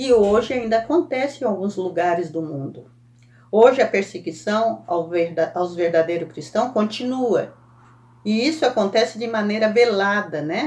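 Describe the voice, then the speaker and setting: A woman speaks at a fairly slow pace and fairly high pitch, with lively intonation. Hers is an ordinary speaking voice. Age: 60s. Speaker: Sunday school teacher. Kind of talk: Bible lesson teaching. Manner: conversational, frequent self-corrections.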